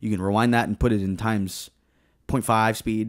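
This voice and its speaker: A man's fairly low-pitched voice in a dry, close sound with no echo. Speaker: podcast co-host. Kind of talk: casual chat. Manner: animated.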